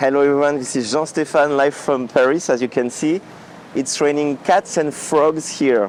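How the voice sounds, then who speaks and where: A man speaks with a strong French accent at a moderate pace, his voice fairly high with fairly even intonation. Noticeable background noise can be heard. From France. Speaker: vlogger and music orchestrator. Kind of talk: casual vlog. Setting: outdoors walking in rain. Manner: halting with many fillers.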